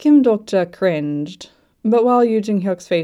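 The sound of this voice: The reading voice is unforced, with lively intonation. Nothing much can be heard behind it.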